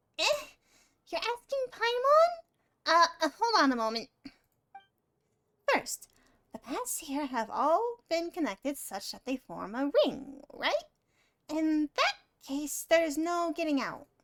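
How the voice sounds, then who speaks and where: A put-on character voice, female-sounding and extremely high in pitch, moves at a fairly slow pace. Long, frequent pauses break up the speech. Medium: game stream. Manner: refers to self in third person, chatty.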